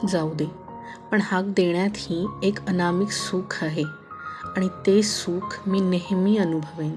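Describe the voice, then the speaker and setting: A woman's medium-pitched voice with fairly even intonation, over music in the background. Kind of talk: audio story narration. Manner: soft-spoken, emotional.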